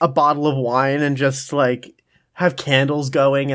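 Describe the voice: The clip is plain reading aloud. Little else is heard behind it.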